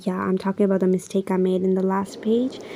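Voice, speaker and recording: A woman's voice over noticeable background noise. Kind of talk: casual voice-over narration of a crafting video.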